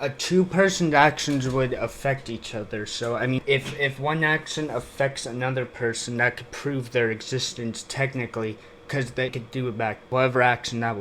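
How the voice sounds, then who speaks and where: A man speaking with hardly any pauses amid noticeable background noise. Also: medium pitch for a man, moderate pace. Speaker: YouTube reaction commentator. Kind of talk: video reaction commentary. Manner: emotionless, flat; halting, many fillers.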